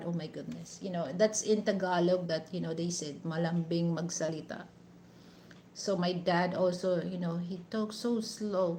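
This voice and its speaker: Here a woman talks with fairly even intonation. She sounds somewhat breathy. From Negros Occidental, Philippines. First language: Hiligaynon. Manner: slow speaker.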